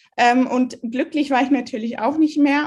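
Speaking at a fairly slow pace, a woman talks. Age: 20s. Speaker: virtual assistant in online marketing. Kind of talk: interview about her cancer story.

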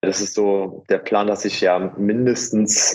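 Speaking at a fairly low pitch, a man holds a monotone, flat intonation. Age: 20s. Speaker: natural bodybuilder. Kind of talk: casual chat.

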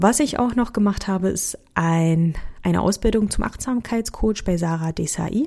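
A woman with a slight Berlin accent speaks at a moderate pace and medium pitch. Her tone is dark and mellow, somewhat breathy, with lively intonation. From Hungary and Berlin area. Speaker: team coach and podcast host. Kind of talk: scripted monologue.

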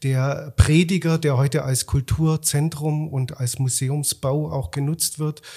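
A man talks at a very slow pace, somewhat breathy, with fairly even intonation. His pitch is fairly high and his tone dark and mellow. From Swabia, Germany (Rottenburg am Neckar). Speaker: festival director and musicologist. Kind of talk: interview conversation. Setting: studio.

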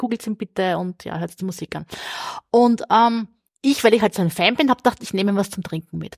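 Somewhat breathy, a woman's medium-pitched voice shows ordinary pitch variation in a dry, close sound with no echo. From southern Burgenland, Austria. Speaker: crime novelist. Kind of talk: casual interview. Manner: fast, talkative.

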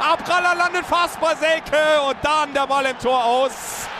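This man's voice is raised and projected, with an animated tone. Noticeable background noise runs underneath. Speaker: radio football commentator. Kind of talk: live commentary. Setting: stadium.

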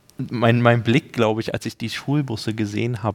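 A man's unremarkable speaking voice at medium pitch, fairly quick in pace, with a dry, close sound and no echo. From Germany. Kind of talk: casual chat.

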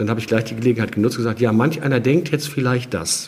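Somewhat breathy male speech at a fairly quick pace. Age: 50s. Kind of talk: interview.

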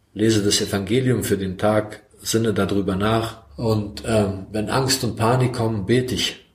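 A man with a Croatian accent speaks in a fairly low pitch and somewhat breathy voice, his intonation fairly even, with audible room echo. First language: Croatian (speaking German). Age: 40s. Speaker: recovering addict. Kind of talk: testimony. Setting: self-help group room. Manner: soft-spoken.

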